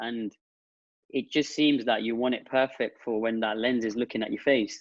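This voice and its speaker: Speaking in monotone, flat intonation, a man with an English Midlands accent has a medium pitch. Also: moderate pace. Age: 30s. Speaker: digital marketing entrepreneur. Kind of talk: podcast interview.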